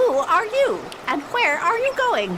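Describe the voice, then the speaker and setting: A put-on character voice, squeaky and extremely high in pitch, moves at a fairly slow pace over clear background noise. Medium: audio drama.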